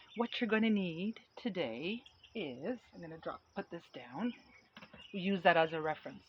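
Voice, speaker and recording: Lively intonation, big jumps in loudness, long and frequent pauses, a moderate pace, and noticeable background noise. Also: woman, medium pitch for a woman. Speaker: painting instructor. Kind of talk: tutorial. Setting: outdoors.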